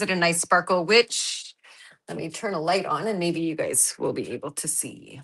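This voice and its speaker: At a moderate pace, a woman is speaking. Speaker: card-making crafter. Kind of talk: casual livestream craft chat. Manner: loud.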